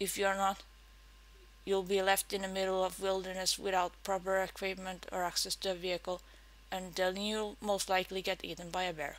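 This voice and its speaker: A woman with a Finnish accent, medium in pitch, flat and monotone, at a fairly quick pace. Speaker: game player and video maker. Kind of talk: read-aloud game tips talk. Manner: tongue-in-cheek.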